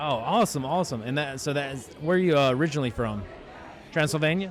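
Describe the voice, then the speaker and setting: A man with a Mississippi accent, a fairly high pitch and an animated tone, talking at a very fast pace with ordinary pitch variation over noticeable background noise. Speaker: horror media interviewer. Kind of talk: red carpet interview.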